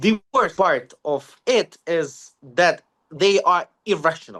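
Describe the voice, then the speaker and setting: A man's high, bright, sharp voice with a Ukrainian accent, at a very slow pace. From Ukraine. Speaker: security analyst. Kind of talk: interview. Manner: halting, many fillers.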